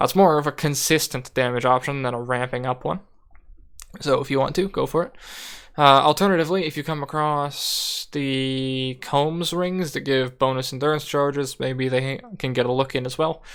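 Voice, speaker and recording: In a very clean recording with a silent background, a man with an ordinary speaking voice and fairly high pitch talks at a moderate pace with fairly even intonation. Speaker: video game guide creator. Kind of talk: gameplay tutorial. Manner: casual.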